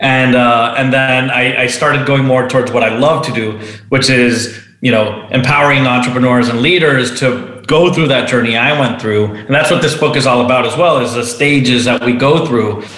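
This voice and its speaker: A man with a Spanish accent speaks at a medium pitch and moderate pace, with fairly even intonation, very even loudness and hardly any pauses, over noticeable background noise and audible room echo. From Venezuela. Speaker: entrepreneur and author. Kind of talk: interview.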